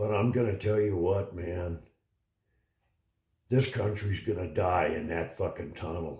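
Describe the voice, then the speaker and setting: With a dark, mellow tone and a somewhat breathy quality, the voice moves at a fairly slow pace with long, frequent pauses and ordinary pitch variation. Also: man, fairly low pitch for a man. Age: 80s+. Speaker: political commentary vlogger. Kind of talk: opinion monologue. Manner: animated.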